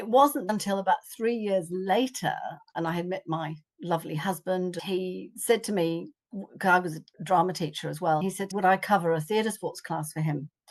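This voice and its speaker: Over a quiet background, a woman with an English accent talks at a moderate pace with ordinary pitch variation. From England. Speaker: psychic arts teacher. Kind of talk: interview storytelling. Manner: animated.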